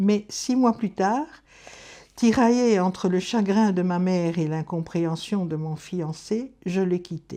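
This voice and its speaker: A woman at a medium pitch with ordinary pitch variation and a dark, mellow tone, at a very slow pace, against a quiet background. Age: 70s. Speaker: retired schoolteacher. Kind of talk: testimony, reading a prepared life story.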